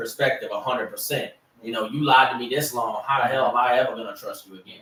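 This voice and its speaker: Talking at a very fast pace in a Southern accent, a man makes big swings in loudness. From US South, Louisiana Cajun. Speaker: sports podcast host. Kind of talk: casual chat. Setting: live stream.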